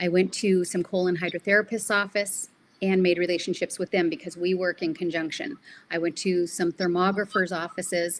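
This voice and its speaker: A woman speaks at a moderate pace in a plain, everyday voice, medium-pitched, with fairly even intonation. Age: 60s. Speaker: lymphatic therapist. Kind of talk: podcast interview. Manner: casual, with frequent fillers.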